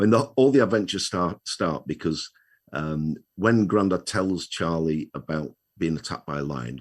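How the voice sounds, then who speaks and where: Over a quiet background, a man with a very deep, low voice speaks at a moderate pace. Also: lively intonation. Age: 60s. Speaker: children's author, retired wheelchair user. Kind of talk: interview.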